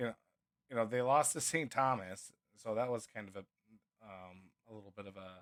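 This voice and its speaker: Speaking fairly quickly with a Minnesotan accent, a man at a medium pitch uses ordinary pitch variation, big swings in loudness, and long, frequent pauses. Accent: Minnesota. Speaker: sports podcast co-host. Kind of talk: casual sports chat.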